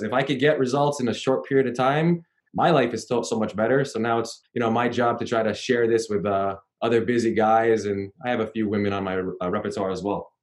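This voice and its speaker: A man with a Canadian accent has a plain, everyday voice at a medium pitch with ordinary pitch variation. He talks at a fairly quick pace. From Canada. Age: 30s. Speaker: personal trainer. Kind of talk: interview.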